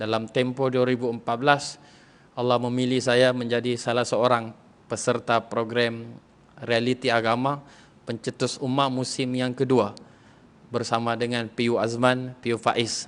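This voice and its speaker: Here a man talks at a moderate pace. His medium-pitched voice is monotone, with flat intonation. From Sabah, Malaysia (Lahad Datu). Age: 30s. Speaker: religious preacher and lecturer. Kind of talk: religious talk to women's audience. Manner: casual, relaxed.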